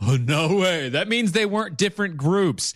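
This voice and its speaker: On a very clean recording with a silent background, a high-pitched man speaks at a moderate pace with lively intonation. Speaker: podcast co-host. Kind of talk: casual chat.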